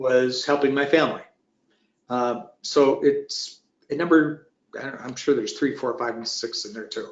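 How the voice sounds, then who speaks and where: A man talks at a moderate pace. His loudness swings a lot from moment to moment. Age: 60s. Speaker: retired manufacturing business owner. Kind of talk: webinar roundtable discussion. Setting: online webinar. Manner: halting, many restarts.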